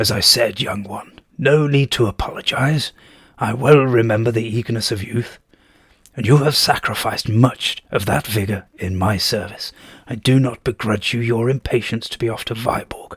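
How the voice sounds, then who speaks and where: Using a put-on character voice, a man speaks at a medium pitch with a raspy sound. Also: moderate pace. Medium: read story. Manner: dignified, measured.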